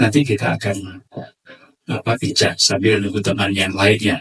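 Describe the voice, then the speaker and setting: A man speaks at a fairly slow pace. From Madura / Surabaya, East Java. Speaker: lecturer / speaker. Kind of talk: lecture to a community forum.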